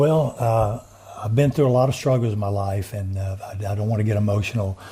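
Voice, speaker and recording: The speaker has a Southern US accent and ordinary pitch variation. Noticeable background noise can be heard. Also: man, fairly low pitch for a man, fairly quick pace. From US South (Montgomery, Alabama). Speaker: inventor and veteran. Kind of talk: interview.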